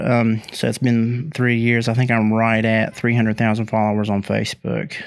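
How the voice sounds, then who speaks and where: On a very clean recording with a silent background, a man with an Appalachian accent speaks in a monotone, flat intonation. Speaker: comedian and online video creator. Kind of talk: casual chat.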